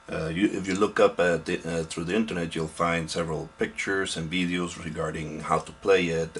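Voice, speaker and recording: A man's very deep, low voice at a moderate pace, flat and monotone, over music in the background. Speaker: hobby model maker. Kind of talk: casual hobby tutorial to camera. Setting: home, background aquarium pump buzzing. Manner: hesitant, halting.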